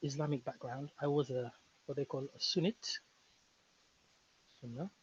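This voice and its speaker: Here a man speaks with a West African accent at a moderate pace. The recording is dry and close, with no echo. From Senegal. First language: Fulani. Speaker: linguist. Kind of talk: casual interview conversation.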